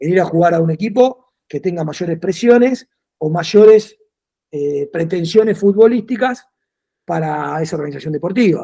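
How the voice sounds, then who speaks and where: With a dark, mellow tone, a man speaks in a high pitch with ordinary pitch variation. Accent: Argentine. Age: 40s. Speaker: football coach. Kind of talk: interview. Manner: fast.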